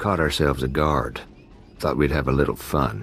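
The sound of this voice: A man's put-on character voice, extremely low in pitch with vocal fry, a fairly bright tone, fairly even intonation and a moderate pace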